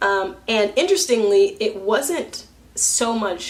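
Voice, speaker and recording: A loud woman's voice with ordinary pitch variation comes through over noticeable background noise. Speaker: vlogger. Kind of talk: casual vlog monologue. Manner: halting.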